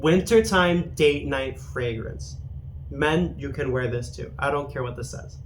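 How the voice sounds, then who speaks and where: A man talks at a fairly slow pace, with audible room echo. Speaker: fragrance reviewer. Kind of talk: product review monologue. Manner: stuttering from caffeine; casual, halting with fillers.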